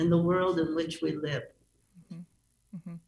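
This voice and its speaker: This woman has a Chicago accent and a fairly low pitch. Her voice is somewhat breathy, with monotone, flat intonation. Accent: Chicago American English. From US Midwest (Chicago). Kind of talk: radio interview. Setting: video call into radio studio.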